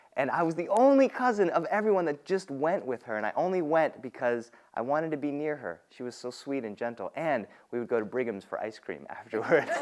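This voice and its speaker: Here is a man with an American accent and a fairly high pitch. He talks at a fairly quick pace with very wide pitch swings. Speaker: storyteller. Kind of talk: personal storytelling performance.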